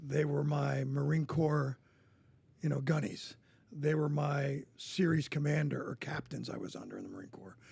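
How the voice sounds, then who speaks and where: A man with an American accent speaks at a moderate pace in a fairly high, somewhat breathy voice with a dark, mellow tone, fairly even intonation and big swings in loudness. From New Jersey, US. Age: 60s. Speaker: coach and former Marine. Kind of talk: podcast interview.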